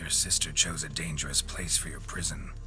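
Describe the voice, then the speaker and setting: A man performs a put-on character voice at a fairly quick pace. Loud background noise runs behind him. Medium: machinima. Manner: curt, dry.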